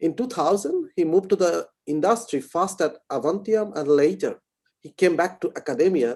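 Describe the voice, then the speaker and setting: In an Indian accent, a man talks at a fairly quick pace. His tone is dark and mellow, with lively intonation. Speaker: session chair introducing speaker. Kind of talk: speaker introduction. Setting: online lecture.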